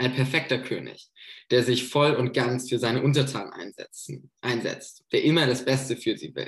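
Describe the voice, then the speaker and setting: Somewhat breathy, a man speaks at a moderate pace with a fairly high pitch and fairly even intonation. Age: 20s. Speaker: theology student, intern preacher. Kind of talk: sermon.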